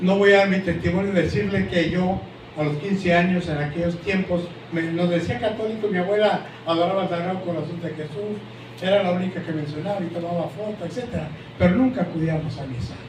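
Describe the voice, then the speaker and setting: A man talks at a fairly quick pace with a high pitch and ordinary pitch variation. Both the room echo and the background noise are noticeable. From Mexico. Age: 70s. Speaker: pastor. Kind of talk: sermon.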